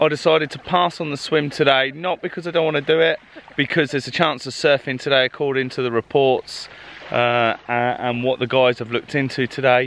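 With light background noise and a dry sound with no echo, a man speaks using fairly even intonation. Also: fairly quick pace. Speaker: travel vlogger. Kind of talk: casual vlog chat. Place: beach. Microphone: phone near.

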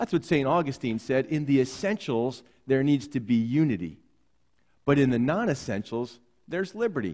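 Against a quiet background, a man with a dark, mellow tone talks at a fairly quick pace. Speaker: pastor. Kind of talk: sermon. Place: church. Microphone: headset.

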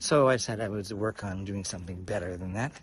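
A man speaks in a somewhat breathy voice. The sound is dry with no echo, over light background noise. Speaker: walking vlogger. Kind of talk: casual vlog chat. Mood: relaxed, reflective. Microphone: phone near.

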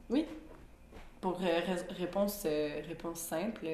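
A woman speaks at a very slow pace, her pitch fairly low with ordinary variation. Noticeable background noise sits behind her. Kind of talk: podcast interview answer. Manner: energetic, code-switching franglais.

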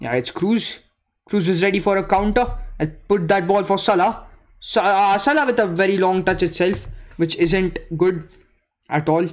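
A man with an Indian accent speaks at a moderate pace in a high pitch, his ordinary pitch variation broken by long, frequent pauses against a quiet background. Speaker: gaming live streamer. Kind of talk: live gameplay commentary and chat with viewers. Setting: live stream. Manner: animated. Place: home room.

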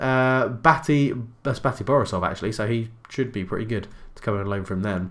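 A man talks at a fairly quick pace in an English accent. The background is quiet. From England. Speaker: gaming YouTuber. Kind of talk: video game commentary. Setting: home recording. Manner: casual, chatty. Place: home room.

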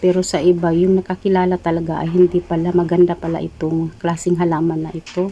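Speaking at a fairly quick pace, a woman has a plain, everyday voice at a medium pitch. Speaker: vlogger. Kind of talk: vlog narration. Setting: shopping mall. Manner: casual.

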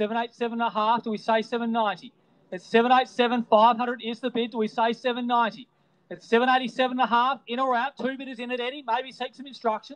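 A man with an Australian accent talks at a fairly quick pace in an extremely high pitch. His intonation stays flat and monotone, with a dry, close sound and no echo. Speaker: real estate auctioneer. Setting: outdoors at property before live crowd, with phone and online bidders. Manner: punchy, showman-like cajoling of bidders.

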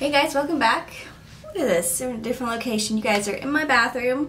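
A woman talks in a high pitch with ordinary pitch variation. Light background noise is present. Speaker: beauty vlogger. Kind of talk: casual vlog chat. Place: bathroom. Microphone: camera far.

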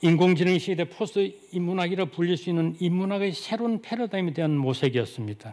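With hardly any pauses, a man talks at a fairly quick pace in a high pitch, with ordinary pitch variation. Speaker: philosophy scholar; presenter. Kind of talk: lecture. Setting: conference hall with audience. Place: hall.

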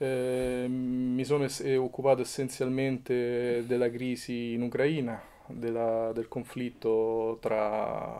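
A man speaks at a very slow pace with a Roman accent, his pitch medium. His tone is dark and mellow, his intonation flat and monotone. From Rome, Italy; Italy. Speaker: photojournalist and documentary maker; photojournalist. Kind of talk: interview. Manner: halting, with false starts. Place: home room.

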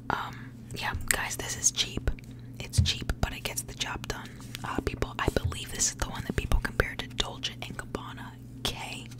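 The speech moves at a moderate pace. Loud background noise is present, and the sound is dry with no echo. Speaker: fragrance vlogger. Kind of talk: casual vlog chat. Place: home room. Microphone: studio mic.

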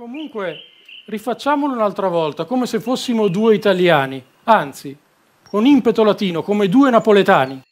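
A high-pitched male voice at a moderate pace. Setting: video call.

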